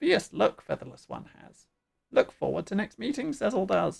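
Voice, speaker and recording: Using a put-on character voice, a man speaks at a moderate pace. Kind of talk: inverted, broken grammar.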